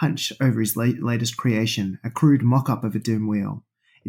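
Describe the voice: The setting behind the voice is quiet. The reading aloud is plain.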